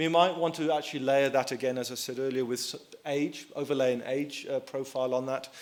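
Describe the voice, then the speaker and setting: Over noticeable background noise, a man speaks at a fairly quick pace with monotone, flat intonation. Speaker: survey researcher. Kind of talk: conference presentation. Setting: conference hall with audience. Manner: soft-spoken; halting.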